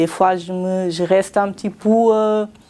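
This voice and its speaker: Speaking very slowly with a non-native accent, a woman keeps a fairly low pitch and a monotone, flat delivery over noticeable background noise. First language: not French (speaking French). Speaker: cleaning company employee. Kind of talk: interview. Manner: halting.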